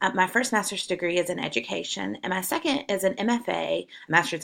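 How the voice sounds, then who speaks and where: A voice with a Southern US accent, a bright, sharp tone and vocal fry comes through in a very clean recording with a silent background. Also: woman. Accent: Southern twang. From South Carolina. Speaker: college English professor. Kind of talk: course welcome video.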